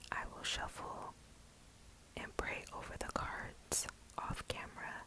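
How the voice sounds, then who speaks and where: A whispering voice comes through over noticeable background noise. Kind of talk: casual talk to camera. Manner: whispered.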